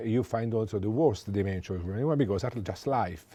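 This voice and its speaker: A man speaks in an Italian accent with a dark, mellow tone. His pitch variation is ordinary. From Italy. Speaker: economist. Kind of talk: lecture. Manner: halting.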